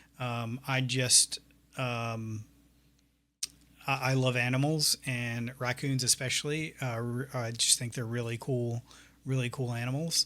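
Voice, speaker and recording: On a very clean recording with a silent background, a man with an American accent speaks at a fairly slow pace with long, frequent pauses, his medium-pitched voice bright and sharp in tone yet monotone and flat in intonation. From US South, north Florida. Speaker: 3D artist and teacher. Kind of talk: tutorial. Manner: soft-spoken, not loud; hesitant, many fillers.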